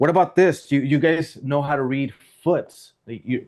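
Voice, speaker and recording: Against a quiet background, a man speaks at a moderate pace in a plain, everyday voice, his pitch varying in an ordinary way. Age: 40s. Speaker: sales trainer. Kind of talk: workshop teaching.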